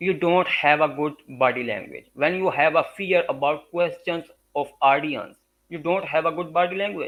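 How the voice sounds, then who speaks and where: With a Punjabi accent, a man talks at a moderate pace in a fairly high voice with ordinary pitch variation. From Pakistan, Punjab. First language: Urdu or Punjabi. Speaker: graphic design and public speaking expert. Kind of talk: interview. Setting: live stream. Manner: halting, frequent uh fillers.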